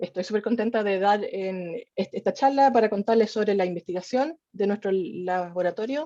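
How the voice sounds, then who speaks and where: This woman has a medium pitch and a dark, mellow tone, speaking at a moderate pace with a Chilean accent. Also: quiet background. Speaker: evolutionary biologist, researcher. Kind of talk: scientific talk. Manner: hesitant, with fillers and restarts.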